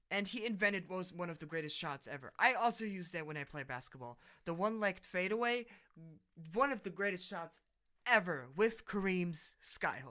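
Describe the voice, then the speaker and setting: In a raised, projected voice, a man speaks at a moderate pace with a high pitch, a bright, sharp tone, lively intonation, and big swings in loudness, on a very clean recording with a silent background. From Germany. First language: German. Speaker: podcast host. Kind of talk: casual monologue. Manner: halting.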